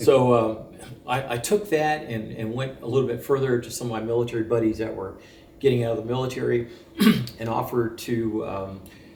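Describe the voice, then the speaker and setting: Speaking at a fairly quick pace, a man uses a medium pitch and fairly even intonation while his loudness swings widely. Audible room echo and noticeable background noise fill the recording. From France. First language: French. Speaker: military veteran. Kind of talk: interview.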